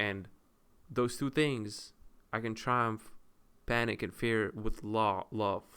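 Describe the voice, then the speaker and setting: A man with a non-native accent speaks at a very slow pace with long, frequent pauses, a medium pitch, fairly even intonation, and a bright, sharp tone. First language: not English. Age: 20s. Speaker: content creator. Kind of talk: casual monologue. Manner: halting.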